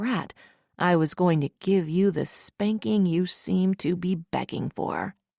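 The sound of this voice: Quiet background, unforced reading voice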